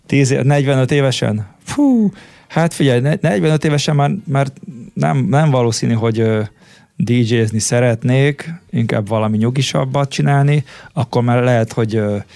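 The voice has a dark, mellow tone and moves at a fairly slow pace with ordinary pitch variation. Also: man. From Hungary, Székesfehérvár. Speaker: DJ and music producer. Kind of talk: interview.

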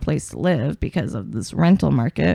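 A woman with an American accent. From Portland, Oregon. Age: 30s. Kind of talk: casual chat.

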